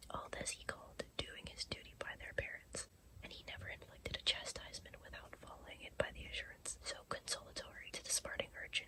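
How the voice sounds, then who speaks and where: A woman whispers at a fairly quick pace. She barely pauses at all. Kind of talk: sleep story reading. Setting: recorded in bed, close-up. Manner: whispered.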